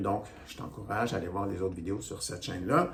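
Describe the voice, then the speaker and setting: A man with a fairly low pitch talks at a moderate pace, with audible room echo. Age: 60s. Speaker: stretching instructor. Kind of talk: tutorial. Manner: casual, conversational.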